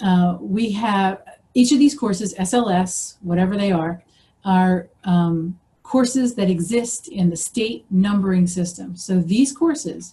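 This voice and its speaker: An American-accented woman speaks at medium pitch with ordinary pitch variation. Her tone is dark and mellow, and somewhat breathy. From US Northeast, Philadelphia. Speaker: professor. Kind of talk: presentation lecture. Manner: fast.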